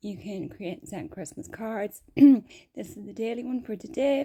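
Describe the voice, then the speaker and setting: This woman talks at a fairly quick pace with lively intonation and a fairly high pitch. Her tone is dark and mellow, with some vocal fry. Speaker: gaming streamer. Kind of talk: casual gameplay commentary. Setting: at home with cat nearby.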